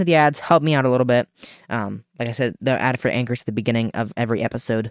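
A man talks very fast at a medium pitch with ordinary pitch variation, and the sound is dry and close with no echo. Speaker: political podcast host. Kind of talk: casual channel update; political commentary monologue.

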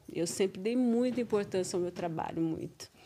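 Dark and mellow in tone, a woman's medium-pitched voice carries ordinary pitch variation. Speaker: teacher, mother of co-host. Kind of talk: casual interview. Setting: studio.

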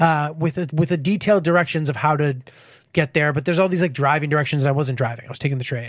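Talking at a very fast pace, a man with an American accent has a fairly high pitch, ordinary pitch variation, and a somewhat breathy sound. The recording is very clean, its background silent. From Connecticut, US. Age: 30s. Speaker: comedian. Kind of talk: casual chat.

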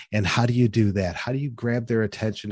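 A man talks at a fairly quick pace in a medium pitch, with an unremarkable speaking voice. The sound is dry and close with no echo, and the background is quiet. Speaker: trade show coach and podcast host. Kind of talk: casual interview chat.

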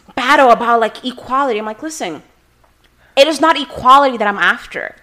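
A woman speaks in a raised, projected voice. Her pitch varies an ordinary amount. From Brazil (Rio de Janeiro). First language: Portuguese. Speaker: immigration attorney. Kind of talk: casual chat.

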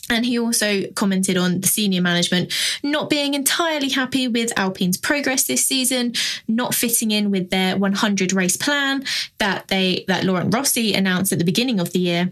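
A woman's ordinary speaking voice, medium in pitch, fairly quick, with lively intonation and very even loudness. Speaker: podcast panelist. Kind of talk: casual panel chat about F1 news.

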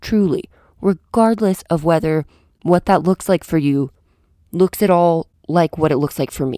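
On a very clean recording with a silent background, a woman speaks fairly slowly with a fairly low pitch and a dark, mellow tone. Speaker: solo podcast host. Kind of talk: philosophical monologue. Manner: casual and chatty.

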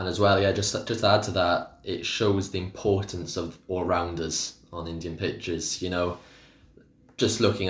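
A man speaks with a Welsh accent. His voice is very deep and low, and somewhat breathy. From Wales. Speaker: cricket pundit. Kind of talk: casual chat.

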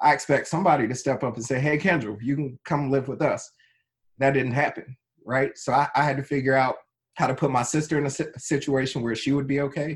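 This somewhat breathy voice moves at a fairly quick pace with fairly even intonation. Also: man, fairly high pitch for a man. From North Carolina (Wilson), born in Trenton, New Jersey. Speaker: tech executive. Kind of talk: interview.

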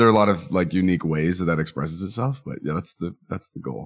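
Male voice on a very clean recording with a silent background. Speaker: ex-minister guest. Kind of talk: casual interview conversation.

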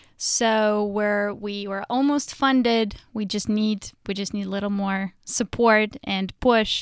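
Speaking with a Russian accent, a woman uses a fairly high pitch and fairly even intonation at a fairly slow pace. The recording is very clean, with a silent background. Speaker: comedian. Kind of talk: casual chat.

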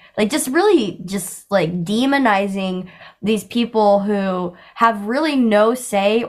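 This is a normal speaking voice from a woman at medium pitch. Her pitch varies in an ordinary way. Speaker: comedy content creator. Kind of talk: casual chat.

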